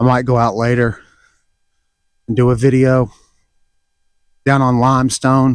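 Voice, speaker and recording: Speaking at a moderate pace with long, frequent pauses, a man uses a medium pitch and a flat, monotone intonation. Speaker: vlogger. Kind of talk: casual walking vlog narration. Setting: outdoors, walking campus.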